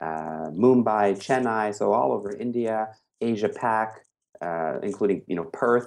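A man with a Canadian accent speaks at a fairly slow pace in a fairly low pitch, in a plain, everyday voice. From Canada. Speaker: business coach and speaker. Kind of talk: interview. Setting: video call.

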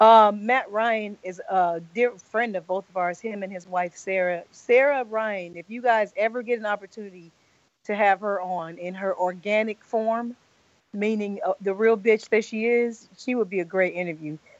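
A woman speaks in an ordinary speaking voice with an American accent. Her pitch is medium, her intonation fairly even, and her pace moderate. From Los Angeles, US West Coast. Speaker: podcaster and football wife, sports media personality. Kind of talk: casual interview.

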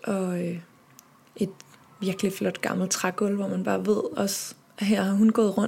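Medium-pitched woman's voice with vocal fry, a monotone, flat intonation and a fairly slow pace. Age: 30s. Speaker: singer and composer. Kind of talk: interview.

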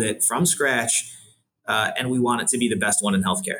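Loud and bright with a sharp tone, a man speaks with an American accent. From Buffalo, New York, US. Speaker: workforce planning executive. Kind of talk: interview. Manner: loud and clear; hesitant, many fillers.

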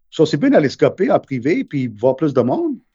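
Using an unremarkable speaking voice, a man talks at a fairly slow pace with fairly high pitch and lively intonation. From Montreal, Quebec. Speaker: gastroenterologist. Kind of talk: interview.

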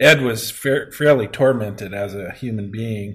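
This man's somewhat breathy voice sits at a medium pitch and shows ordinary pitch variation. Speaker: podcast host. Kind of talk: casual conversational podcast discussion.

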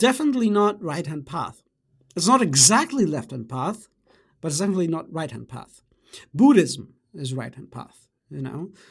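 Somewhat breathy, a man speaks at a moderate pace against a quiet background. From Greece (childhood partly in Germany). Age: 20s. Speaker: podcast host, philosophy PhD candidate. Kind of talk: solo monologue, casual reflective talk. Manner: hesitant with many fillers.

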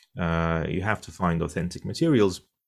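A man speaks in a Russian accent at a very deep, low pitch. The recording is very clean, with a silent background. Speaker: interpreter and professor. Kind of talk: interview. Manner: halting.

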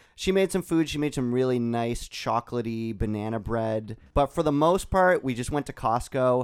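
A man's unremarkable speaking voice at a medium pitch, with lively intonation, a moderate pace and hardly any pauses. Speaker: filmmaker. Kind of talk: casual chat.

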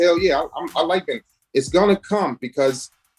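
In an ordinary speaking voice, a man with an American accent talks at a fairly quick pace with ordinary pitch variation, the sound dry and close with no echo. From US inner city. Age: 50s. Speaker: navy veteran and life coach. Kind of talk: interview.

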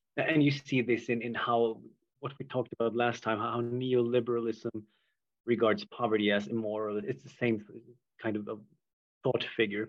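A man speaks at medium pitch and a moderate pace. His intonation is fairly even, with long, frequent pauses. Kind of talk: casual chat. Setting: video call. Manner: halting.

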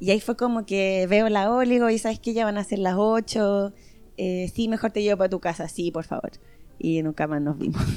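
Delivered fairly quickly with a Chilean accent, the voice has a dark, mellow tone and ordinary pitch variation. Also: woman, medium pitch for a woman. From northern Chile. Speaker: podcast guest. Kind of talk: casual chat.

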